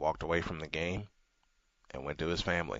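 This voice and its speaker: With vocal fry and a monotone, flat delivery, a man speaks in a very deep, low pitch. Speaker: sports radio host. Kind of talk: radio talk show. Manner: subdued.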